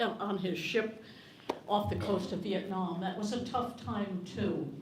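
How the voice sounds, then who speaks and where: Recorded with audible room echo and noticeable background noise, a woman speaks with ordinary pitch variation. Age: 80s+. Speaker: audience member at town hall. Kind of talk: public comment at town hall. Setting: library town hall with audience. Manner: halting, repeating words; impassioned.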